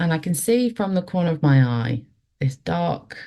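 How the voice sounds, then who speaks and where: Speaking at a fairly slow pace, a woman has a dark, mellow tone. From English Midlands. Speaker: paranormal experiencer. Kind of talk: storytelling.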